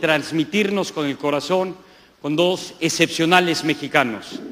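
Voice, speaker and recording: Ordinary pitch variation marks a man's speech at a fairly slow pace. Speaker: event host. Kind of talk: stage introduction speech. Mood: warm, enthusiastic. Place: stage. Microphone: handheld.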